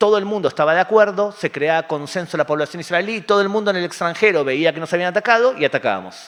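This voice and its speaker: This is a man's voice. He speaks at a very fast pace. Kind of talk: public talk with audience questions. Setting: community center with live audience.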